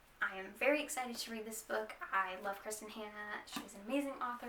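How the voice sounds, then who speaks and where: A woman speaks at a moderate pace and a fairly high pitch. There is noticeable background noise. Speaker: book vlogger. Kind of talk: casual talk to camera. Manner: hesitant, some stuttering.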